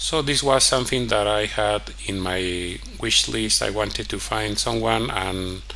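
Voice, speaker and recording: Someone speaks at a fairly slow pace with a Spanish accent. Noticeable background noise and audible room echo are present. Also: man. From Mexico. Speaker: vlogger. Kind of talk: personal storytelling monologue. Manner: halting, many fillers.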